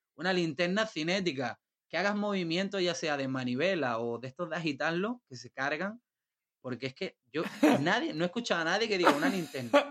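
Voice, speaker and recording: A man speaks with a high pitch, very wide pitch swings and big jumps in loudness. His pace is fairly quick, and the sound is dry and close with no echo. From Isla Cristina, Huelva, Andalusia, Spain. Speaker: visual artist. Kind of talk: casual chat.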